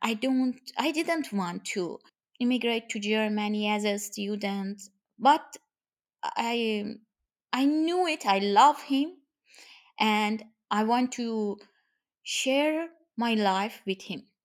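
A woman with a Persian accent speaks at a very slow pace, her fairly high pitch showing ordinary variation and broken by long, frequent pauses. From Iran. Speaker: guest's wife. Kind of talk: interview conversation. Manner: halting.

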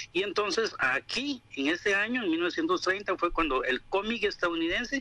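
The voice is raised and projected, with a bright, sharp tone. Its pitch swings very widely at a fairly slow pace. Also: man. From Costa Rica. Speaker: manga and anime enthusiast. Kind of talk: informative talk.

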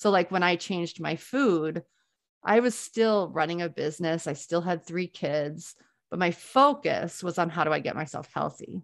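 Against a quiet background, a woman with a plain, everyday voice speaks at a moderate pace, her fairly low pitch showing ordinary pitch variation. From US South, New Orleans. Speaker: entrepreneur and planning coach. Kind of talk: casual interview chat.

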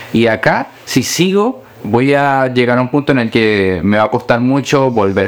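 A man speaks over noticeable background noise. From Colombia, then Chile from age 11. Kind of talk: interview.

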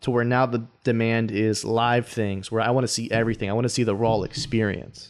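A normal speaking voice from a man, medium in pitch, fairly even in intonation and fairly quick, on a very clean recording with a silent background. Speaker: podcast co-host. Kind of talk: casual chat.

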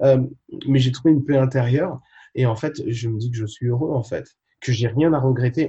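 Somewhat breathy and medium in pitch, a man talks at a moderate pace with fairly even intonation and long, frequent pauses. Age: 30s. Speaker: fitness coach and travel vlogger. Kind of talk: interview about travel.

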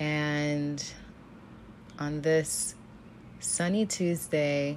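A woman with a very deep, low pitch speaks at a very slow pace in a monotone, flat intonation, with audible room echo. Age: 20s. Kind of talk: spoken-word reflection.

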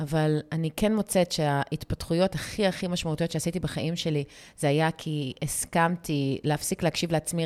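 A woman speaks in a very deep, low voice with fairly even intonation. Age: 40s. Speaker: podcast host, women's mindset coach. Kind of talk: casual chat.

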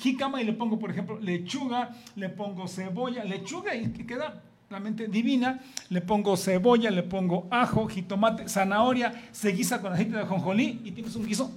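With noticeable background noise and audible room echo, a man speaks at a moderate pace and a high pitch, with ordinary pitch variation. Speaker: chef and guest co-host. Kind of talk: casual chat.

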